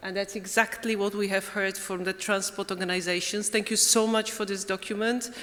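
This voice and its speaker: With a Polish accent, a woman speaks at a medium pitch and moderate pace, her intonation fairly even over noticeable background noise. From Poland. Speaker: European Commission director. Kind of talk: closing conference speech.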